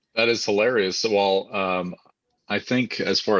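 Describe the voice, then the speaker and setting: A man talks at a fairly slow pace in a bright, sharp tone. His pitch moves with ordinary variation. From various US states. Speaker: company executive. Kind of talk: casual live-stream chat.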